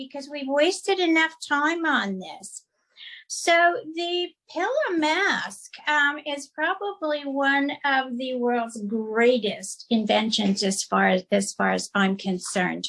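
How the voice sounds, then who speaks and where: At a very slow pace, a woman speaks at a high pitch with very wide pitch swings. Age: 70s. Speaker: skincare practitioner. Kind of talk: tutorial. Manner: halting, many fillers.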